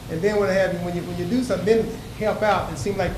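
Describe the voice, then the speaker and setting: A man's high-pitched voice at a very fast pace, fairly even in intonation, amid audible room echo and noticeable background noise. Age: 70s. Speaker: resident speaking at public participation. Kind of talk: public comment at council meeting.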